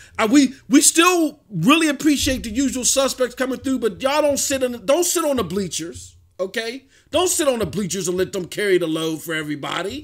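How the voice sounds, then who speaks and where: A man speaks at a fairly quick pace in an animated tone, his extremely high pitch swinging very widely, on a very clean recording with a silent background. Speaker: gaming podcast host and streamer. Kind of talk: casual livestream podcast talk. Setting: home streaming setup.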